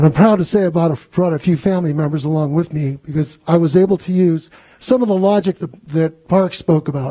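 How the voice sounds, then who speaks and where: A man's fairly quick, high-pitched voice with a Californian accent. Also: ordinary pitch variation. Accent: General American (Californian). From Los Angeles, California. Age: 60s. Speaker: public commenter. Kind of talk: public comment. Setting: school board meeting.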